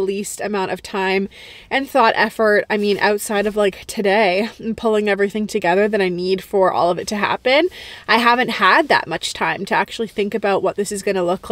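A woman at a fairly quick pace, ordinary pitch variation, dry sound with no echo. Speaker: vlogger. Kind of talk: casual vlog chat. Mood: reflective, warm, faith-focused. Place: car. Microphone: phone near.

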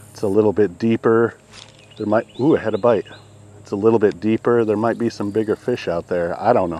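The speech comes in a plain, everyday voice at a fairly quick pace. The sound is dry with no echo. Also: man, fairly low pitch for a man. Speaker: fishing vlogger. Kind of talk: casual vlog chat. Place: waterside. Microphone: camera far.

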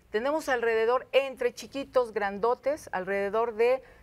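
A woman speaking high, her pitch varying in an ordinary way. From Mexico City, Iztapalapa; Mexico City. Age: 50s. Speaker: local politician. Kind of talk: studio interview. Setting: TV studio with audience. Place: studio. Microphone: lapel.

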